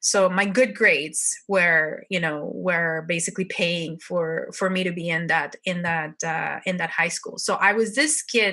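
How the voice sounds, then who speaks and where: A woman with a Mexican accent at a fairly slow pace, with hardly any pauses. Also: fairly low pitch for a woman, ordinary pitch variation. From northern Mexico. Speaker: entrepreneur. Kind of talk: interview.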